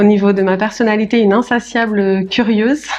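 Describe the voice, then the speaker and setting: A woman with a medium-pitched voice speaks with music playing in the background. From France, Paris region. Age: 40s. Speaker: notary. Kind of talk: podcast interview. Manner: hesitant, many fillers.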